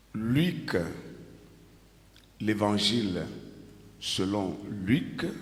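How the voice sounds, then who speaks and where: Amid audible room echo, a man with fairly low pitch and lively intonation speaks very slowly, leaving long, frequent pauses. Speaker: pastor. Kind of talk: sermon.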